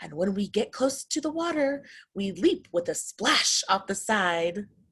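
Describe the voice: The speaker uses a put-on character voice with a slightly husky edge and a fairly bright tone. Big pitch swings come at a fairly slow pace. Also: woman, medium pitch for a woman.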